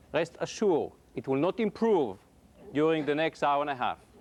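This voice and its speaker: A man with an Israeli accent, fairly high in pitch, at a moderate pace. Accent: foreign accent, Israeli. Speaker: computer science professor. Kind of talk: public lecture.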